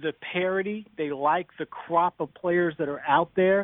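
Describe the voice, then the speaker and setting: At a fairly slow pace, a man talks with fairly even intonation in an ordinary speaking voice. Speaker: golf television reporter. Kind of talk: phone interview. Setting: phone call.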